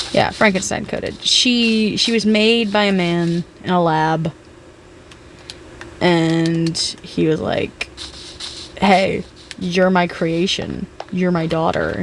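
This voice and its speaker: A woman at a very slow pace with fairly even intonation and long, frequent pauses, over noticeable background noise. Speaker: gaming streamer. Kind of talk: casual gameplay chat. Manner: loud; halting, repeats words.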